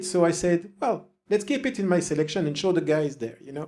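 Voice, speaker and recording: A high-pitched man's voice with a French accent. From French-speaking southern Belgium. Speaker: music reviewer. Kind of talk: casual album review monologue. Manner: hesitant, many fillers.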